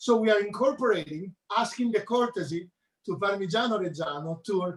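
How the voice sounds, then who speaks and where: Here a man with a strong Italian accent talks at a moderate pace. His pitch is high, with ordinary variation. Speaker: chef. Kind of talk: cooking demonstration.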